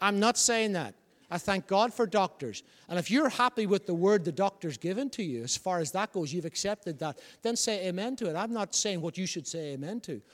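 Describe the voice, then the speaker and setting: In a very clean recording with a silent background, a man with a Northern Irish accent talks at a fairly quick pace in a high voice with lively intonation. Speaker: pastor. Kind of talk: sermon; New Year sermon at a rising pitch, exhorting the congregation. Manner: emphatic, building repetitive cadence.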